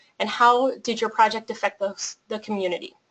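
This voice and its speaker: This woman has an unremarkable speaking voice. She talks at a fairly quick pace. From Colorado, US. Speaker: nonprofit program manager. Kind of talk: webinar presentation.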